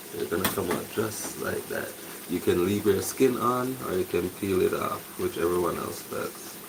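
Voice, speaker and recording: A soft-spoken man talks at a moderate pace. There is noticeable background noise. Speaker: home cook livestreaming. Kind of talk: casual cooking livestream. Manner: soft-spoken, talking low.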